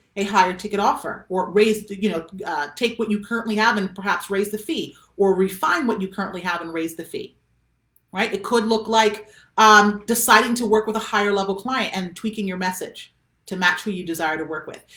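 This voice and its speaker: A woman's medium-pitched voice at a fairly quick pace, with ordinary pitch variation. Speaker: business coach. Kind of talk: live stream coaching talk. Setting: facebook live video. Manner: fast.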